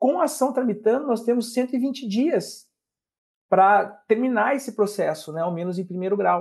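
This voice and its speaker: Pitched high, a man's voice carries lively intonation. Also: moderate pace. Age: 40s. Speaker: public prosecutor. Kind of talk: interview.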